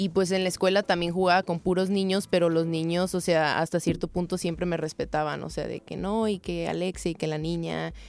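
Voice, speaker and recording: A woman's fairly low, monotone voice at a fairly quick pace with hardly any pauses, on a very clean recording against a silent background. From Mexico, Tepic Nayarit. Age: 20s. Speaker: footballer. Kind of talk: interview.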